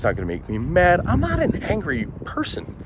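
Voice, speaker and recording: A man talking at a fairly quick pace, with very wide pitch swings and noticeable background noise. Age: 40s. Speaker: vlogger. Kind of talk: casual monologue vlog.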